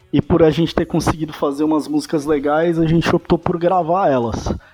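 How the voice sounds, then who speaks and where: A man talks at a moderate pace with a fairly high pitch. Noticeable background noise runs underneath. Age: 30s. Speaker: rock band guitarist. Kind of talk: casual interview chat.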